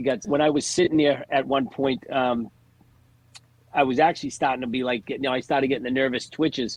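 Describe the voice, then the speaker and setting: Fairly quick and fairly even in intonation, a man speaks with a Boston accent. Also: medium pitch for a man. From Massachusetts (Lawrence, Boston area). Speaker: stand-up comedian. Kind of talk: casual chat.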